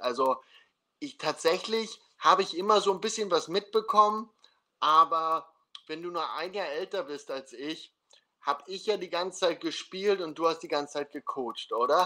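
With a bright, sharp tone and high pitch, a man talks at a moderate pace, showing ordinary pitch variation and big swings in loudness. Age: 30s. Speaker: podcast host, former American football player. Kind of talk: casual interview livestream. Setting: video livestream.

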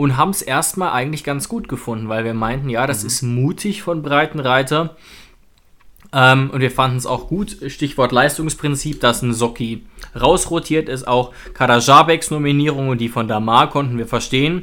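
A man speaks with a bright, sharp tone. His pitch is medium, with ordinary variation. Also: moderate pace. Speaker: football podcast co-host, fan. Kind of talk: casual football talk.

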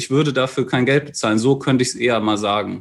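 An unremarkable speaking voice from a man, medium in pitch, with fairly even intonation against a quiet background. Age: 30s. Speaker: maths and physics teacher. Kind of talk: casual chat.

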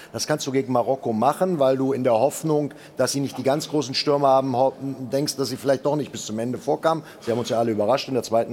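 A man at a medium pitch races along at a very fast pace with ordinary pitch variation over noticeable background noise. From Germany. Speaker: football pundit. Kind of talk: panel discussion.

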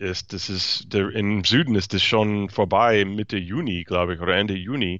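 Fairly low-pitched man with an English accent at a fairly slow pace. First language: English (speaking German). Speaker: podcast co-host, baseball commentator. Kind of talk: casual sports chat. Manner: halting, hesitant.

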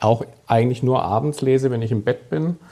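Speaking with a Swabian accent, a man has a dark, mellow tone. He keeps a moderate pace with ordinary pitch variation. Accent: southern German (Swabian). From Stuttgart, southern Germany. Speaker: sports journalist and author. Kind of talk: casual podcast conversation.

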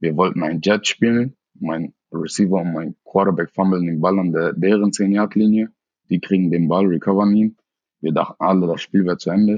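Moving at a moderate pace, a man with a very deep, low pitch keeps his intonation fairly even. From Germany, Hamburg. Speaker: high school football player. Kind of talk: interview.

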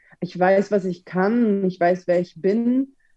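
A woman with a dark, mellow tone speaks at a fairly slow pace. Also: medium pitch for a woman, ordinary pitch variation.

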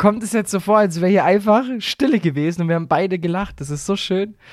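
A man at a very fast pace, with ordinary pitch variation, on a very clean recording with a silent background. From Baden-Württemberg, Swabia (Aalen area). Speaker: podcast co-host. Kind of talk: casual comedic chat.

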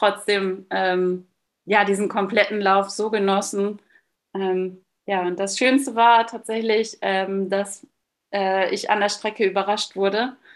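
Her pitch medium and her intonation a flat monotone, a woman speaks at a very slow pace. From Westphalia, Münsterland. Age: 30s. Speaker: long-term solo traveller and runner. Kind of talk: interview. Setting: video call.

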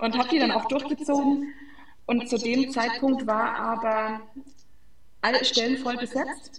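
A woman speaks with high pitch and monotone, flat intonation at a moderate pace, leaving long, frequent pauses. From Franconia, Germany (Fränkisches Seenland). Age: 20s. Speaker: sports physiotherapist. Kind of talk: interview.

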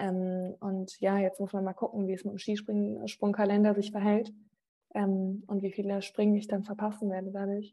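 A dark, mellow, somewhat breathy tone at a moderate pace, with monotone, flat intonation. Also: woman. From Rhineland-Palatinate, Germany (Mainz family, moved often). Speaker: sports TV presenter. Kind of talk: interview.

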